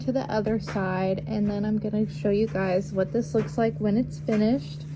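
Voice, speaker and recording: A woman talks at a moderate pace. Behind her, noticeable background noise can be heard. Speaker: sewing tutorial maker. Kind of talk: tutorial. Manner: hesitant, many ums.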